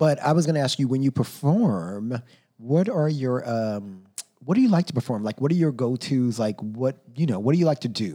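With an American accent, a man speaks at a medium pitch in a dark, mellow tone with lively intonation. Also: moderate pace. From Texas. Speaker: podcast host. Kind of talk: casual chat.

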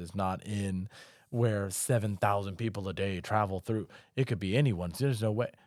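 Against a silent background on a very clean recording, a man with an American accent speaks in a plain, everyday voice at a moderate pace, his pitch fairly low with ordinary variation. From South Carolina (Charleston). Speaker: army veteran. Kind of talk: casual chat. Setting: studio.

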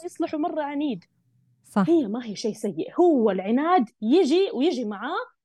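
With very wide pitch swings, a woman speaks in an animated tone at a moderate pace. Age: 20s. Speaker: parenting coach. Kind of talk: interview.

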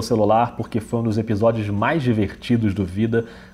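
A man talks at a fairly quick pace in a dark, mellow tone that is somewhat breathy. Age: 40s. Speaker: podcast host. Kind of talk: podcast intro and announcements. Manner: animated.

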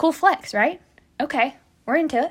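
A woman with an American accent speaks in an animated, bright, sharp tone with lively intonation at a moderate pace. The recording is very clean with a silent background. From United States. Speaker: podcast host, history storyteller. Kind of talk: casual scripted-style history podcast monologue. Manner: animated, humorous, chatty.

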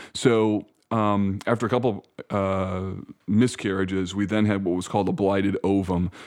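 A man with a normal speaking voice talks at a moderate pace and fairly low pitch against a quiet background. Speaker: pastor. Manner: articulate.

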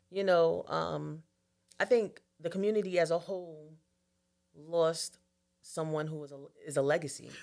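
A woman with an American accent speaks at a fairly low pitch and a moderate pace with fairly even intonation, big swings in loudness and long, frequent pauses, in a very clean recording with a silent background. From Long Island, New York. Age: 40s. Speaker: community organizer and civil servant. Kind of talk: podcast interview. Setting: studio, in person.

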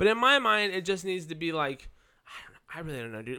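Very fast and raised, a man's projected voice has a bright, sharp tone and very wide pitch swings. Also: very clean recording, silent background. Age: 20s. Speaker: podcast co-host. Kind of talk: casual chat.

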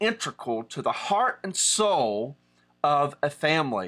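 A man speaks with an Appalachian accent. His pitch swings very widely. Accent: Appalachian American. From Southern West Virginia. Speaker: pastor. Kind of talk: online teaching. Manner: casual, with many fillers.

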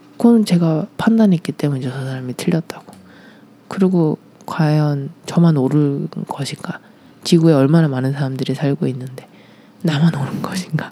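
The speaker keeps a moderate pace while noticeable noise carries on in the background. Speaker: former ballet dancer and performer. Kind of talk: interview about personal life.

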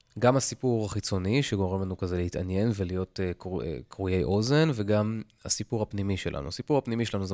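Fairly low-pitched male speech at a fairly quick pace. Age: 40s. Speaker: podcast host. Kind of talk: solo podcast monologue. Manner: casual, halting with fillers.

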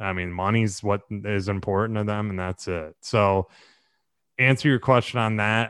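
This man has an unremarkable speaking voice, fairly low in pitch, with an American accent, talking at a moderate pace on a very clean recording with a silent background. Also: fairly even intonation, dry, close sound with no echo. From Southwest Florida, Naples area. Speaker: real estate broker and entrepreneur. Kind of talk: interview. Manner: casual, filler-heavy.

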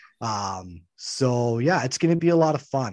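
This man has a normal speaking voice with a Canadian accent, pitched at a medium level. His intonation is lively against a quiet background. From Canada. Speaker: professional wrestler. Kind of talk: podcast interview.

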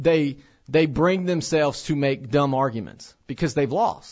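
A man speaks in a plain, everyday voice, fairly high in pitch. He goes at a fairly slow pace with ordinary pitch variation. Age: 30s. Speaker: radio host and pregnancy center director. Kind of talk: radio talk monologue. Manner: frequent fillers and repetitions.

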